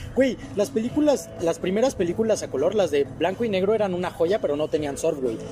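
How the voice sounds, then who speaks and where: With a Mexican accent, a high-pitched man talks at a fairly quick pace with very wide pitch swings over noticeable background noise. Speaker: podcast co-host. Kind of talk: casual chat.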